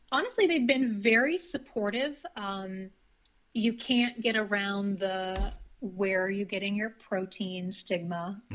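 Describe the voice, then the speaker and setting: Speaking at a fairly slow pace, a woman with an American accent uses an ordinary speaking voice. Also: medium pitch for a woman, ordinary pitch variation. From US Northeast, northern Maine. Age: 30s. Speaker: vegan guest, certified iridologist. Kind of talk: casual interview.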